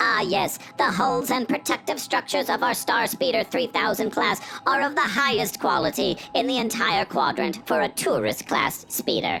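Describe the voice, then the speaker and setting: A female-sounding, put-on character voice, fairly high in pitch, at a moderate pace over clear music in the background. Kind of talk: airline safety announcement. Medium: audio drama. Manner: polite, formal.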